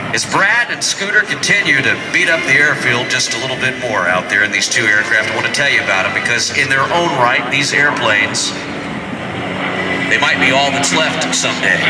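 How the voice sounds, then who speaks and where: Loud noise fills the background as a man speaks fairly quickly. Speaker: airshow announcer. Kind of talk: commentary. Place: street. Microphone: pa.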